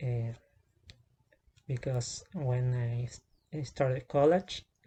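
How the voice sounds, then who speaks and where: Somewhat breathy, dark, mellow tone at a fairly slow pace, with ordinary pitch variation. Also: man. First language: not English. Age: 20s. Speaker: vlogger. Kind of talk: personal testimony vlog. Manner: halting, many fillers and restarts.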